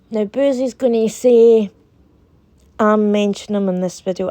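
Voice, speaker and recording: Against a quiet background, a woman with a Scottish accent speaks in a dark, mellow tone, the sound dry and close with no echo. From Scotland. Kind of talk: casual talk to camera. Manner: indignant, heated.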